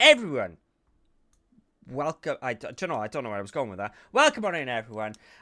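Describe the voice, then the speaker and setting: A man in a Welsh accent speaks in a bright, sharp tone with very wide pitch swings, on a very clean recording with a silent background. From Wales. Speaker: podcast host. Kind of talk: casual chat. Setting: live stream. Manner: animated.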